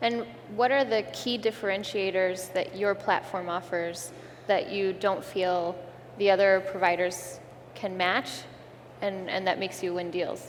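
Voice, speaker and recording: Fairly even intonation amid audible room echo. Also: woman, medium pitch for a woman. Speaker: investor. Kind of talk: panel discussion. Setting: stage with audience. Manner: fast.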